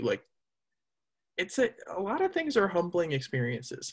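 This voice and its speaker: Over a quiet background, a man speaks at a moderate pace in a somewhat breathy voice. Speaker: podcast host. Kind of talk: casual interview. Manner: halting, many fillers.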